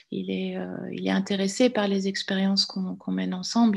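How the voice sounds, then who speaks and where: A woman at a fairly slow pace, against a quiet background. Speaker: filmmaker and visual artist. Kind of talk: panel discussion.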